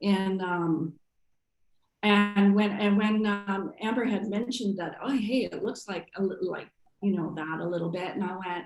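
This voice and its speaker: A woman talks in a medium-pitched voice. Background music can be heard. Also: moderate pace. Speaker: artist, printmaker. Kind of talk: artist talk Q&A.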